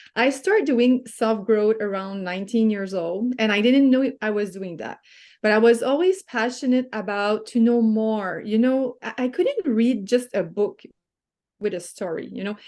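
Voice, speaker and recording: With a French-Canadian accent, a woman speaks at a fairly high pitch and a moderate pace with ordinary pitch variation against a quiet background. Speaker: lifestyle coach. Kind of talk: interview. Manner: halting.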